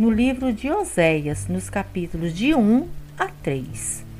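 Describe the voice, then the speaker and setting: Against noticeable background noise, a woman speaks at a very slow pace in a medium pitch. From Brazil, Espírito Santo. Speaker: bible study educator. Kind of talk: scripted narration.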